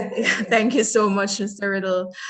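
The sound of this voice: With fairly even intonation, a woman talks at a medium pitch. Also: fairly slow pace, fairly bright tone.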